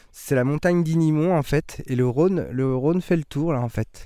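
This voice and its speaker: Silent background, very clean recording, lively intonation. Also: man. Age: 30s. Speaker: winemaker. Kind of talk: casual interview. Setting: outdoors in vineyard.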